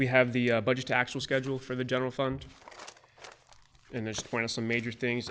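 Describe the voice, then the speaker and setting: Noticeable background noise sits behind a man talking very fast. His voice is medium-pitched and monotone, with flat intonation. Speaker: auditor. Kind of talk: financial report presentation. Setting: public meeting.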